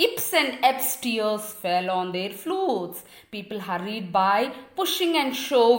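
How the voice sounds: The clip carries a natural reading voice.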